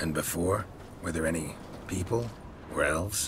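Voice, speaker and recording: A man uses a put-on character voice with a very deep, low pitch and a deadpan tone. He speaks at a moderate pace over loud background noise. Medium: video game. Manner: terse, clipped, deadpan.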